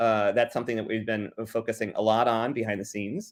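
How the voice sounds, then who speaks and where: Very clean recording of a man, background silent. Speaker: magazine editor presenting updates. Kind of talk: meeting presentation. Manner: fast, hurried.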